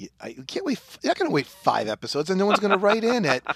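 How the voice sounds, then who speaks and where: Recorded with a dry, close sound and no echo, a man with a high pitch races along at a very fast pace with very wide pitch swings. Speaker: podcast host.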